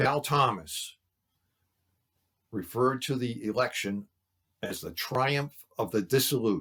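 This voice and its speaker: Over a very clean recording with a silent background, a man at medium pitch talks at a fairly slow pace with long, frequent pauses, ordinary pitch variation and a bright, sharp tone. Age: 70s. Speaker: church lay speaker. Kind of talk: sermon.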